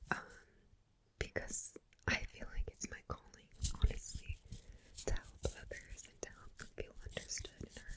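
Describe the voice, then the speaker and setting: A woman is whispering at a fairly slow pace. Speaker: ASMR creator. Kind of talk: ASMR whispered Q&A to camera. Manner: whispered, soft-spoken.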